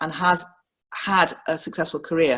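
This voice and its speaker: A woman with a slight northern English accent on a very clean recording with a silent background. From northern England, Liverpool. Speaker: professional woman speaking on career experience. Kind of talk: personal reflection talk.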